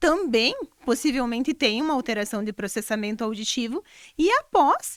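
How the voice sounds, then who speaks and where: A woman speaks at a moderate pace with lively intonation. The recording is very clean, with a silent background and a dry, close sound with no echo. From Brazil, Rio Grande do Sul. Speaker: speech therapist. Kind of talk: interview.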